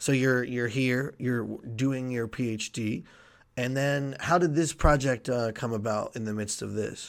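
An ordinary speaking voice moves at a fairly slow pace with fairly even intonation on a very clean recording with a silent background. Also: man, medium pitch for a man. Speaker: podcast co-host, graduate student. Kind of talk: interview.

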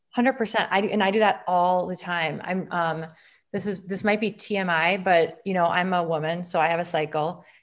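An ordinary speaking voice, a woman with an American accent speaks at a fairly quick pace and fairly low pitch with fairly even intonation over a quiet background. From Wisconsin, Green Bay. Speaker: integrative medicine physician. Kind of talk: interview conversation.

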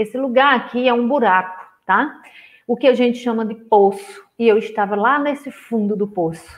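Fairly high in pitch, this woman uses a plain, everyday voice, keeping a moderate pace and ordinary pitch variation. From rural Brazil. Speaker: therapist and coach. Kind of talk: online live lecture. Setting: livestream with screen share. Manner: casual, warm.

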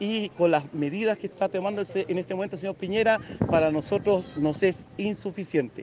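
Amid noticeable background noise, a man with a high pitch talks at a moderate pace with ordinary pitch variation. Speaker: union delegate. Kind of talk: street interview.

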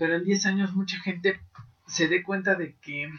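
Speaking at a moderate pace, a man with a high pitch talks in a Mexican accent. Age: 20s. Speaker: podcast host. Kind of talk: casual monologue.

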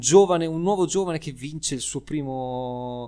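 With ordinary pitch variation and a moderate pace, a man talks on a very clean recording over a silent background. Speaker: podcast co-host explaining Formula 1. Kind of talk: casual chat. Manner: animated.

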